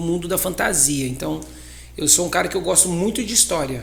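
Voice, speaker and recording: Against noticeable background noise and audible room echo, a man talks at a moderate pace with lively intonation. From Brazil, São Paulo state (Ribeirão Preto). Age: 30s. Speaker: magician and circus entrepreneur. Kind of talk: podcast interview.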